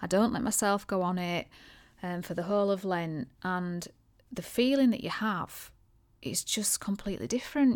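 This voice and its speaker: In a very clean recording with a silent background, a woman with an unremarkable speaking voice talks at a moderate pace, with medium pitch and ordinary pitch variation. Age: 40s. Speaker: podcast host and aesthetics clinic owner. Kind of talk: solo podcast monologue.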